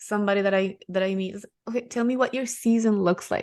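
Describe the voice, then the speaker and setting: A woman speaks with a Spanish accent. Her intonation is monotone and flat. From Ecuador. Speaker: real estate investor. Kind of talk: podcast interview.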